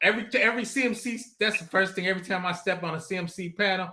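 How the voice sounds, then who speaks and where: In a raised, projected voice, a man talks at a very fast pace with a high pitch, a bright, sharp tone and lively intonation. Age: 50s. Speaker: cybersecurity compliance professional. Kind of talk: casual chat. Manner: animated.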